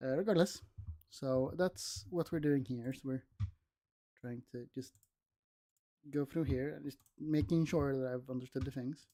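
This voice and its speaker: Soft-spoken and fairly slow, a man speaks with a dark, mellow tone at a fairly high pitch, the sound dry and close with no echo. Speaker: student streamer. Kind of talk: casual livestream study session. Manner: casual, hesitant. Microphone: no mic arm, mic gain adjusted.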